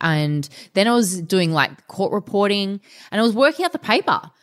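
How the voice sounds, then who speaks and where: Recorded very cleanly over a silent background, a woman speaks with an Australian accent. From Australia, Melbourne (Essendon). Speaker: fitness trainer and martial artist. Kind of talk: interview. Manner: animated.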